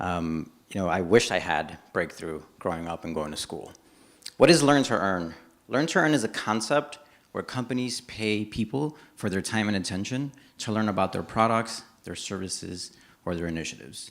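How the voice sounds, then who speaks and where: A man with a plain, everyday voice speaks in an American accent at a moderate pace. His pitch is fairly low and his intonation is lively. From New York City, from age five; born Dominican Republic. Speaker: startup co-founder and CTO. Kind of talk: startup pitch presentation. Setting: stage with audience.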